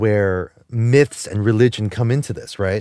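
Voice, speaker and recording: Against a quiet background, a man with a New Jersey accent speaks at a fairly slow pace in a fairly low pitch. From New Jersey, Jersey City. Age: 40s. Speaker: podcast co-host. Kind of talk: casual chat. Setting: studio. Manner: halting, many repeated words.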